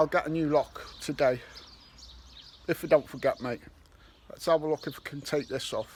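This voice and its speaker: Speaking at a moderate pace with long, frequent pauses, a man with a Liverpool accent and a fairly high pitch keeps a fairly even intonation while his loudness swings widely. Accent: Scouse. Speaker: metal detecting YouTuber. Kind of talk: vlog narration. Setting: outdoors.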